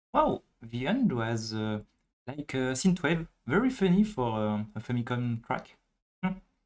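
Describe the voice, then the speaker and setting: With very wide pitch swings, a man with a French accent and medium pitch talks at a fairly slow pace. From France. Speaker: music listening stream host. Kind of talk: casual chat.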